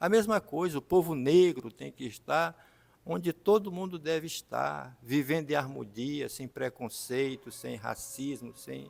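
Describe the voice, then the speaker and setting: This man has an ordinary speaking voice, fairly high in pitch, with lively intonation. He talks at a fairly slow pace, and his loudness swings widely. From Maranhão, Brazil (São Luís). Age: 60s. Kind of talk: talk show testimony.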